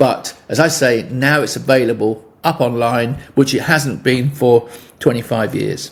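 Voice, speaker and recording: Speaking at a moderate pace, a man with a southern English accent talks at a medium pitch. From England. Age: 70s. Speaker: musician. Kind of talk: interview. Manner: halting.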